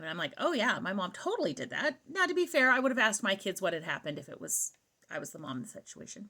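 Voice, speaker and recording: An animated tone at a very fast pace. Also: woman. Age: 50s. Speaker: vlogger, mother. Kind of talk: storytime monologue.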